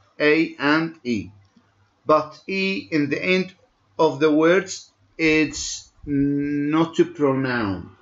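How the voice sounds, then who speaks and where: A man's fairly high voice at a very slow pace. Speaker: English language teacher. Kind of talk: lecture. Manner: halting, code-switching between English and Arabic.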